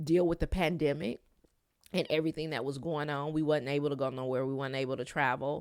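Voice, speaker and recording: Recorded very cleanly against a silent background, a woman with an American accent speaks at a fairly quick pace. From Detroit, Michigan. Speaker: podcast host. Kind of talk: solo podcast monologue.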